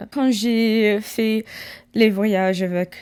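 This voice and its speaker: A woman with an English accent is heard on a very clean recording with a silent background. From USA. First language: English (speaking French). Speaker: ASMR creator. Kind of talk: casual storytelling. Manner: halting, many restarts; soft-spoken.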